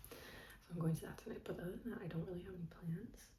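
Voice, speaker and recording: A woman whispers at a fairly quick pace in an American accent, with audible room echo around her. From United States. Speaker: travel vlogger. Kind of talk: casual vlog. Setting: room in a rented apartment. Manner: whispering.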